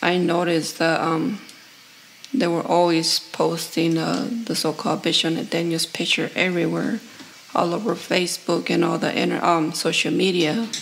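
A woman with a fairly low pitch and ordinary pitch variation at a moderate pace, against noticeable background noise. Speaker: class member. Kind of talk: reading aloud. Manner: halting.

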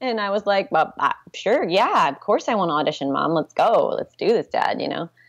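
A woman speaks at a moderate pace with an American accent. The background is quiet. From US West Coast (Santa Rosa, California). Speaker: pole dance instructor and studio owner. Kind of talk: interview. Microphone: video call.

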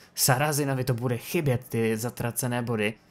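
This is a man with a medium-pitched voice. His pitch varies in an ordinary way.

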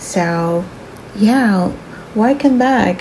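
Over light background noise, a woman speaks at a very slow pace. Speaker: stationery vlogger. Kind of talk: casual vlog narration.

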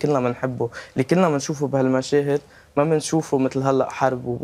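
A man speaks at medium pitch with fairly even intonation. His pace is moderate. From Lebanon. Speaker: interior architecture student; guest. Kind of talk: TV interview; interview answer. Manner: halting. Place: studio. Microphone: lapel.

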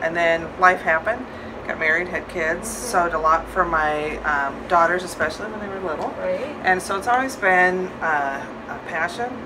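Over noticeable background noise, a woman speaks in a fairly low pitch at a moderate pace. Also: ordinary pitch variation. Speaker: interviewee. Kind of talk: interview answer. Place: shop.

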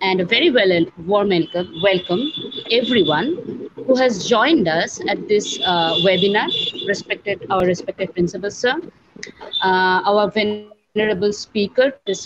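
Speaking at a moderate pace, a woman leaves long, frequent pauses while noticeable background noise runs behind her. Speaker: teacher welcoming webinar audience. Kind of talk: formal welcome address. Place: home room. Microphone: earbuds.

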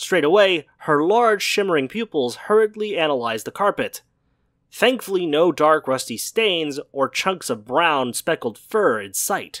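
The tone is dramatic and the pace fairly slow. The recording is very clean, with a silent background. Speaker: YouTube channel narrator. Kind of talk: horror story audiobook reading, scripted narration. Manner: tense, hushed, dramatic narration.

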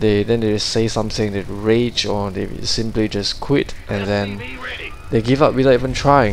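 A man at a medium pitch and moderate pace, with fairly even intonation and noticeable background noise. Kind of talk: game commentary (casting) for a StarCraft 2 match.

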